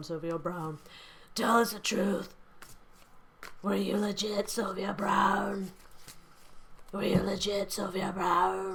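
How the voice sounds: A raspy, put-on character voice at a middle pitch unfolds at a fairly slow pace.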